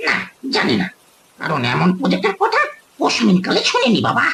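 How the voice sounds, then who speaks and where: Putting on a character voice, a man talks at a moderate pace. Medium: read story. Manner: scoffing, skeptical.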